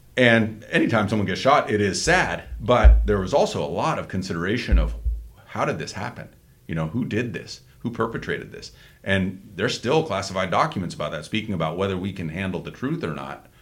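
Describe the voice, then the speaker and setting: Using vocal fry, a man talks at a fairly quick pace and a fairly low pitch, with lively intonation and big swings in loudness. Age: 50s. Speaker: political podcast host. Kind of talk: casual chat.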